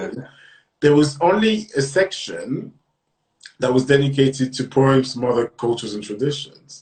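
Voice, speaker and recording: Speaking with a French accent, a man uses a medium pitch, a moderate pace and a somewhat breathy voice. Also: ordinary pitch variation. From lived on several continents, then grew up in Britain. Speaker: writer and magazine editor. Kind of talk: podcast interview. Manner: hesitant, many fillers.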